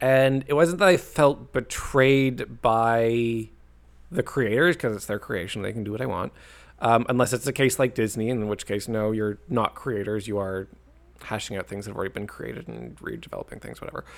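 A man speaks in a plain, everyday voice at a medium pitch and moderate pace. His pitch varies in an ordinary way, while his loudness swings widely. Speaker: podcast co-host. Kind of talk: casual chat.

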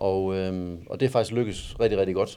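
This man's voice sits fairly low, with a dark, mellow tone. His intonation stays fairly even. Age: 40s. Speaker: amateur bodybuilder. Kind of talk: casual interview. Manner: halting.

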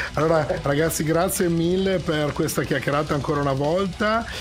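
A man talks at a moderate pace with a fairly high pitch and ordinary pitch variation, his tone animated and energetic. Noticeable background noise runs behind him. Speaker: radio host, hard rock and metal show. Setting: radio studio. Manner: animated, energetic, fluent broadcaster delivery.

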